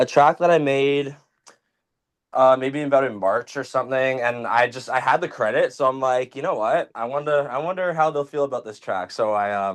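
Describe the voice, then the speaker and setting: A man speaks at a moderate pace and medium pitch with a Canadian accent. His intonation is lively. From Toronto, Canada. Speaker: music producer. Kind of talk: casual chat.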